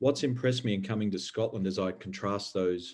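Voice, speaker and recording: A man speaks in an Australian accent with a fairly low pitch. His pace is fairly quick. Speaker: environmental regulator. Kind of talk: panel discussion.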